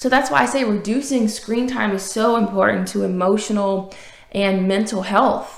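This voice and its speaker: With a slight Southern US accent, a woman speaks in an animated tone. Audible room echo and noticeable background noise are present. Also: medium pitch for a woman, ordinary pitch variation, moderate pace. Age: 20s. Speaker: podcast host and author. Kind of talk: motivational podcast monologue.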